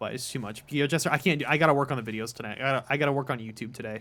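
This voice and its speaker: Very fast male speech with music in the background. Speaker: streamer. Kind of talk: casual chat.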